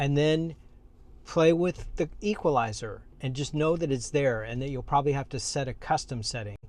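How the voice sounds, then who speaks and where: A man's unremarkable speaking voice, pitched fairly high, moderate in pace and ordinary in pitch variation. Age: 60s. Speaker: car reviewer. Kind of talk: tutorial. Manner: casual.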